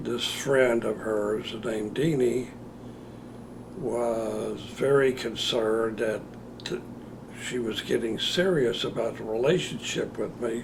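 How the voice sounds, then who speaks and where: Amid audible room echo and noticeable background noise, a man speaks at a very slow pace with long, frequent pauses. His pitch is medium with ordinary variation. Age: 70s. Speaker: interviewee sharing memories. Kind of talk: recorded personal interview. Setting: on-camera interview. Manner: halting, with many fillers.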